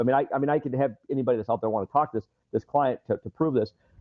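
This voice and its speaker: Speaking at a very fast pace, a man with an American accent has a fairly high pitch, ordinary pitch variation and an animated tone. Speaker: fitness business consultant. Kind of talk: interview. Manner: talkative, rapid.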